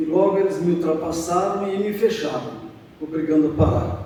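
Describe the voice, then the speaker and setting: Fairly slow speech from a man, with noticeable background noise and audible room echo. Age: 70s. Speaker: church member giving testimony. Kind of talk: testimony. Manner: halting.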